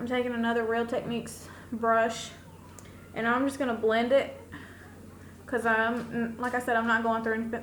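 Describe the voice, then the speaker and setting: In a room with audible echo, a fairly high-pitched woman speaks in a flat monotone with long, frequent pauses. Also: moderate pace. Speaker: beauty vlogger. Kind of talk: makeup tutorial. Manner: loud.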